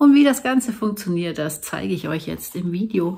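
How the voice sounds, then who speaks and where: Lively intonation in a woman's somewhat breathy delivery. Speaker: craft video host. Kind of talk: tutorial. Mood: friendly, cheerful. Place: home room. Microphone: phone near.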